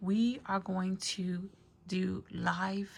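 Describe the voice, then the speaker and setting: The speaker is a woman. Her voice is somewhat breathy. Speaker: crafting YouTuber selling supplies. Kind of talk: casual product show-and-tell. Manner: soft-spoken.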